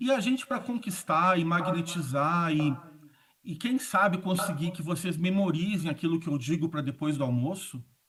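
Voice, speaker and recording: A man's high voice at a moderate pace with lively intonation. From southern Brazil (Rio Grande do Sul). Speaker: communication consultant and speaker. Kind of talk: conference talk. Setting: auditorium stage with audience, also streamed online.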